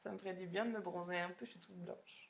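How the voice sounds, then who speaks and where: A woman is talking here. Her pace is fairly quick. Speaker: reality TV contestant answering fans. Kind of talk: live Q&A stream reading fan questions.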